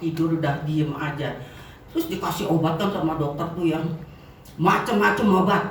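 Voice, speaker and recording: Amid noticeable background noise and audible room echo, a woman with a fairly low voice speaks at a moderate pace in an animated tone. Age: 70s. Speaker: customer giving product testimonial. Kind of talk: testimony.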